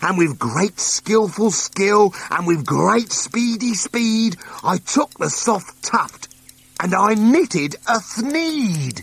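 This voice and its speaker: Putting on a nasal character voice, a man talks at a very slow pace with a high pitch and lively intonation. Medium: read story.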